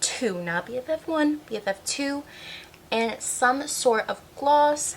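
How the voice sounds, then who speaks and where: A woman's intonation rises and falls in a lively way while noticeable noise sits in the background. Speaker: beauty content creator. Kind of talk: casual product review vlog. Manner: animated.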